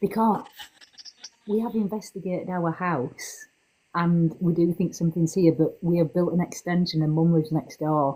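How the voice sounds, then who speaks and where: A woman whispering at a moderate pace in an English accent. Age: 40s. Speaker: paranormal podcaster. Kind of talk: casual chat.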